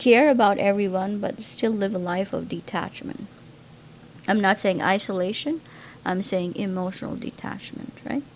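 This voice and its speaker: Her Gujarati accent clear, a woman of medium pitch speaks at a fairly slow pace with ordinary pitch variation. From India, Gujarat. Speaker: pre-med student vlogger. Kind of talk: casual monologue to camera. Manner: hesitant, many fillers.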